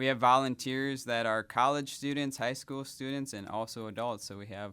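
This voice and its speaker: A man with a slight Wisconsin accent talks at a moderate pace with fairly even intonation. The recording is very clean, with a silent background. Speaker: hospital volunteer services director. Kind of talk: radio interview.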